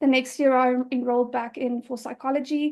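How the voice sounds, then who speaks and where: Her voice is high for a woman, with monotone, flat intonation at a moderate pace over a quiet background. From South Africa. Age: 20s. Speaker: patient advocate. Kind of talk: interview. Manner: hesitant, many fillers.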